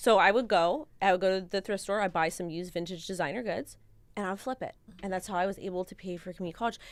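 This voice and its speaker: A woman with a Californian accent, medium pitch and ordinary pitch variation, talking at a very fast pace in an animated tone on a very clean recording with a silent background. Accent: Californian American English. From Los Angeles County, California. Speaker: crypto and NFT content creator. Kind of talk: casual panel chat on live stream.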